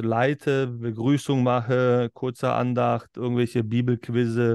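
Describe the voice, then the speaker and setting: The recording of a man with a normal speaking voice and medium pitch sounds dry and close with no echo, over a quiet background. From Berlin, Germany. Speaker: pastor and podcast host. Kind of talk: casual chat.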